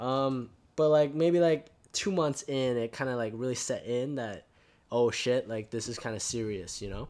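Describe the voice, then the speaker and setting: A man with an ordinary speaking voice talks at a moderate pace in a fairly high pitch with ordinary pitch variation, recorded very cleanly against a silent background. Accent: American. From Canada, Vancouver, after US and China. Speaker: university student. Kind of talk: casual interview. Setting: face to face in person.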